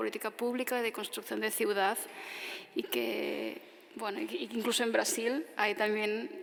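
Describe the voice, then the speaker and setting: Speech at a moderate pace with noticeable background noise behind it. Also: woman. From Tarragona, Catalonia, Spain. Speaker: architect giving a lecture. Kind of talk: audience Q&A answer after lecture.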